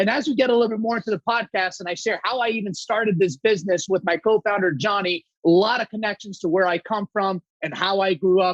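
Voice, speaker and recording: A man talks loudly at a very fast pace and a high pitch, with hardly any pauses. His tone is energetic and animated, and the sound is dry and close, with no echo. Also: ordinary pitch variation. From Saudi Arabia, Greek family. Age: 30s. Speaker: company co-founder. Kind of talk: podcast interview. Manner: energetic, animated.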